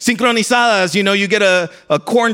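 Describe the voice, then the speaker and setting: A man talks fairly quickly in a high voice with a bright, sharp tone. His intonation stays fairly even. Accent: American. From US South, South Texas border city. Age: 30s. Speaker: pastor. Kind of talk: sermon.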